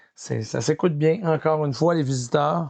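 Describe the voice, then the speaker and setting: With a Quebec accent, a man talks at a fairly slow pace with ordinary pitch variation. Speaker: film collector YouTuber. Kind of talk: casual collection showcase. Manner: hesitant, many fillers.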